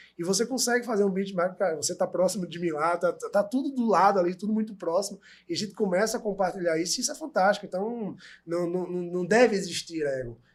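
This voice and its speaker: A man's high-pitched voice at a very fast pace, with ordinary pitch variation, on a very clean recording with a silent background. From Brazil, Recife (Pernambuco, Northeast). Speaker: manufacturing methodology consultant. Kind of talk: casual podcast discussion.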